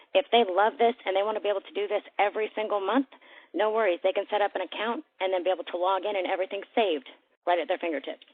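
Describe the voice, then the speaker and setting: Here a woman speaks at a very fast pace. Her pitch is medium. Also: ordinary pitch variation. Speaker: sales presenter. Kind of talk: sales pitch. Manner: animated.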